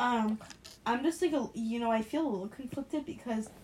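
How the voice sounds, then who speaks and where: Against noticeable background noise, a woman speaks at a fairly high pitch with ordinary pitch variation. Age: 19. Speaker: nursing student. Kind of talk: casual chat.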